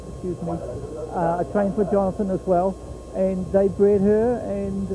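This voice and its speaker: Over noticeable background noise, a man with a New Zealand accent speaks at a high pitch in a monotone, flat intonation. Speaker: harness racing horse trainer. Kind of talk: trackside sports interview. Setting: at a fairground racetrack. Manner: halting, many fillers.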